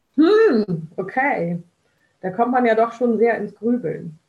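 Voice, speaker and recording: A woman's fairly high voice at a very slow pace. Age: 40s. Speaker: social pedagogue. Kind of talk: casual interview.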